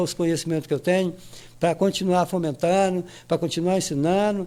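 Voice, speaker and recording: Spoken at a fairly quick pace, the voice carries a dark, mellow tone. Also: man. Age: 60s. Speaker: cultural project organizer. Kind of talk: podcast interview. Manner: halting, many repetitions.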